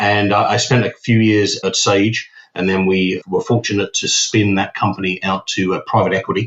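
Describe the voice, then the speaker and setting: A man with a British accent talks at a moderate pace in a fairly low, monotone, flat voice, with hardly any pauses. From UK. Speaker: company CEO. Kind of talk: interview. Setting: podcast.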